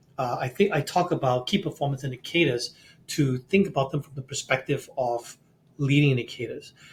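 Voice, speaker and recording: With big swings in loudness, a man talks at a fairly quick pace in a somewhat breathy, fairly high voice with ordinary pitch variation. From Singapore. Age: 60s. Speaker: CEO coach and author. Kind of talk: podcast interview. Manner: animated, frequent repetitions.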